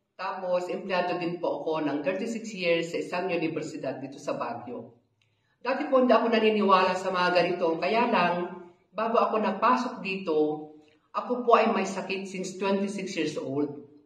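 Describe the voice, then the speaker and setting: With audible room echo but a quiet background, a woman speaks at a moderate pace and medium pitch with ordinary pitch variation. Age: 60s. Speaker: product testimonial giver. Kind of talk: testimony. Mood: earnest, calm. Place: office.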